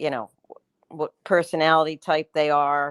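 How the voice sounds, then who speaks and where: A woman's very deep, low voice, fairly even in intonation, with a dry, close sound and no echo. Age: 60s. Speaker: caller. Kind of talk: call-in question.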